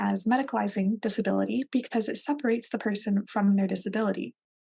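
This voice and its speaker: Talking at a very fast pace, a woman with an American accent has a fairly high pitch, ordinary pitch variation, a dark, mellow tone and a somewhat breathy quality. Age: 20s. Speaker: librarian presenter. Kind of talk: recorded presentation. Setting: video call with virtual background.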